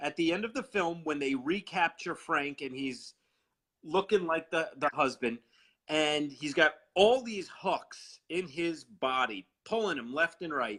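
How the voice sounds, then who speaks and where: A man with a fairly high pitch and a bright, sharp tone speaks with lively intonation. His pace is fairly slow, and the background is quiet. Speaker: horror fan co-host. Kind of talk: casual chat on live video stream. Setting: live video chat.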